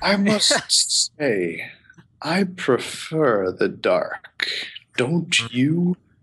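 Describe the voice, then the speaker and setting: In a put-on character voice, a man talks very slowly at a high pitch. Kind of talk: villain monologue. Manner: slow, silky, menacing.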